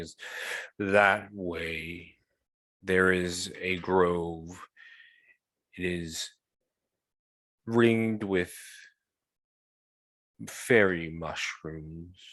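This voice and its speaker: A man's put-on character voice, very deep and low in pitch, at a very slow pace with long, frequent pauses. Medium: actual play. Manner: slow, solemn.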